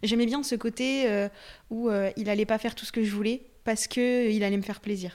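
Her pitch fairly high, a woman speaks at a moderate pace in a monotone, flat intonation. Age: 20s. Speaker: dog training enthusiast. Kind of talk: casual chat.

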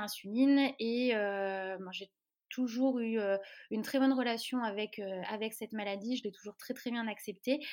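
A woman at a fairly high pitch and a moderate pace, her intonation fairly even. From Lorraine, France. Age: 20s. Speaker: web marketing consultant with type 1 diabetes. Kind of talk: podcast interview. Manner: hesitant, many fillers.

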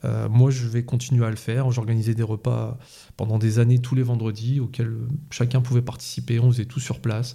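A man talks with a dark, mellow tone at a medium pitch, his voice somewhat breathy. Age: 40s. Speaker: police officer. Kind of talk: interview. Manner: calm.

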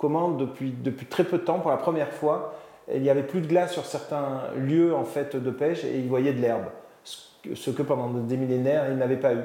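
A man with a fairly high voice speaks at a moderate pace, with audible room echo. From Marseille, southern France. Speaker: business executive and NGO founder. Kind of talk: interview. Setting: outdoors by a vegetable garden. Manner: halting, with repetitions.

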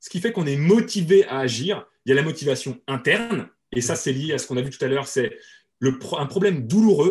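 With a fairly high pitch and lively intonation, a man talks at a fairly quick pace. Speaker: webinar and marketing trainer. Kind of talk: interview. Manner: fast.

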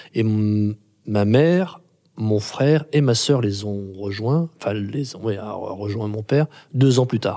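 In a very clean recording with a silent background, a man speaks at a very slow pace in a dark, mellow tone with fairly low pitch. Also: ordinary pitch variation. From France, Grenoble. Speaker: playwright and theatre director. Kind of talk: interview. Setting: theatre workshop room. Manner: halting, many repetitions.

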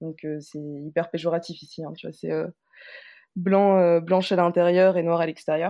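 A woman talks at a fairly slow pace with a fairly low pitch and monotone, flat intonation. Her loudness swings widely. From Martinique. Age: 20s. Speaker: interviewee, former law student. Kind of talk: personal testimony.

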